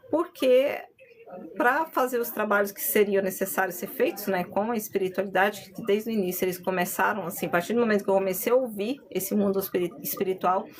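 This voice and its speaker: Over noticeable background noise, a woman talks at a fairly quick pace and medium pitch, with ordinary pitch variation and big swings in loudness. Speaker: spiritual medium and content creator. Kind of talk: live stream talk on spirituality. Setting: live stream.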